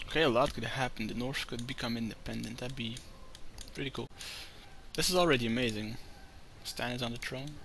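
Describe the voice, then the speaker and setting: Despite long, frequent pauses, the speech runs at a fairly quick pace with fairly even intonation and audible room echo. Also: man, medium pitch for a man. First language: not English. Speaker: gaming video creator. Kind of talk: let's play commentary. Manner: casual, thinking aloud.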